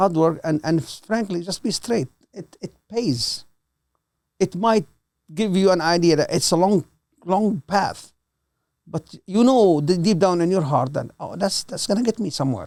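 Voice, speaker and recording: The speaker has a Levantine accent and leaves long, frequent pauses. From Lebanon, Palestinian refugee. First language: Arabic. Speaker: host's father. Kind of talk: casual interview. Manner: halting.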